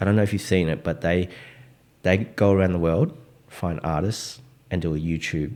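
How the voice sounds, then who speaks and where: In a very clean recording with a silent background, a man with an Australian accent speaks at a moderate pace, his very deep, low pitch showing ordinary variation. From Australia, Melbourne (Richmond), Vietnamese Australian. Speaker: DJ. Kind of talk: casual chat.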